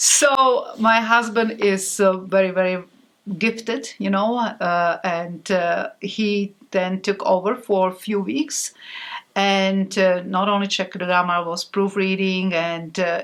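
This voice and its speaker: Speaking in a Slovak accent, a woman goes at a very slow pace with ordinary pitch variation. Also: medium pitch for a woman. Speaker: author. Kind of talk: interview. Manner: halting.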